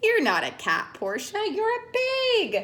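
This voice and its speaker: In a put-on character voice, a woman squeaks at an extremely high pitch. She speaks at a fairly slow pace. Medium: read story.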